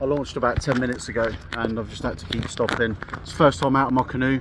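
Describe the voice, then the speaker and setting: Noticeable background noise sits behind a man with a southern English accent. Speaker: vlogger, canoeist. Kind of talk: outdoor vlog narration. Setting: outdoors on a river in a canoe. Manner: casual, hesitant with fillers.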